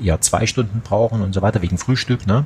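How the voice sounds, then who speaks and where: A man with fairly low pitch and a slight Saxon accent speaks over noticeable background noise. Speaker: audio drama producer. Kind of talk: casual chat.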